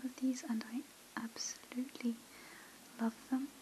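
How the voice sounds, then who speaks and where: Soft-spoken and with a gentle tone, a woman talks over light background noise. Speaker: ASMR creator. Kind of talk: asmr whisper. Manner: soft-spoken, slow and gentle; hushed and relaxing, with hesitant pauses. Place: home room.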